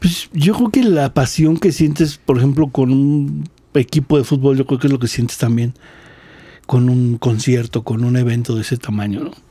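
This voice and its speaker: Somewhat breathy and of medium pitch, a man speaks at a moderate pace with a dark, mellow tone and ordinary pitch variation. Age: 40s. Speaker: drummer. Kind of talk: casual chat.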